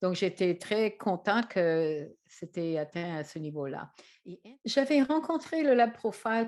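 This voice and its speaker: Against a quiet background, a woman with an English Canadian accent speaks at a medium pitch and a very slow pace. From English-speaking Canada. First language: English (speaking French). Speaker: trainer and author. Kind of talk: presentation to camera. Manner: hesitant, many fillers.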